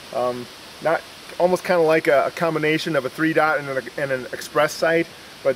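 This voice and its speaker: Noticeable background noise sits behind a man with an American accent. He talks at a fairly quick pace in a fairly high pitch, with fairly even intonation. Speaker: firearms reviewer. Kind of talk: product review. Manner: fast; casual, with many fillers.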